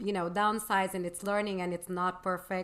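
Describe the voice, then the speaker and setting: A Portuguese accent on a very clean recording with a silent background. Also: woman. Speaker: interviewer. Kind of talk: interview. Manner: halting.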